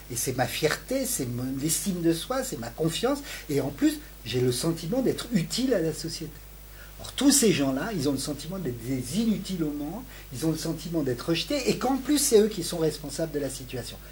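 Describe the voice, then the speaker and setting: A man's fairly high voice with very wide pitch swings, plus audible room echo. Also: moderate pace. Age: 60s. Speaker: sociology professor. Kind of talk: interview. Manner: halting, with many repetitions and hesitations.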